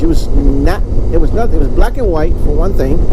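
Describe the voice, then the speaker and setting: Very fast talk from a man amid noticeable background noise and audible room echo. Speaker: motorcycle vlogger. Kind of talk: casual chat. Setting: riding a motorcycle outdoors. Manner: loud.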